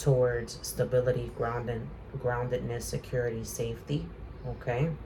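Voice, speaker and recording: A man talks at a very slow pace. Audible echo fills the room around him. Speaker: tarot reader. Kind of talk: tarot reading. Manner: soft-spoken; hesitant, many fillers.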